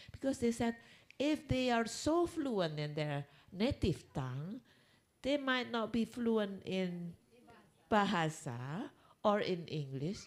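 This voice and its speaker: With an Indonesian accent, a woman speaks at a very slow pace and medium pitch. Her pitch swings very widely, and she leaves long, frequent pauses. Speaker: conference speaker. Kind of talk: lecture. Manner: halting.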